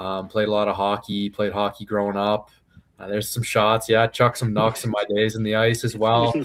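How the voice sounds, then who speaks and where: Speaking with a Maritime Canadian accent, a man talks at a fairly quick pace in a monotone, flat delivery. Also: fairly low pitch for a man. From Canada, Prince Edward Island. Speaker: professional MMA fighter. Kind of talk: casual interview. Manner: relaxed, casual.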